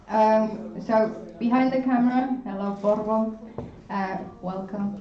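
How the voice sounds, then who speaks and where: A woman's fairly high voice at a fairly slow pace, fairly even in intonation, with audible room echo and noticeable background noise. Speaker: student union board member. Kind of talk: orientation presentation. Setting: lecture room, filmed and streamed.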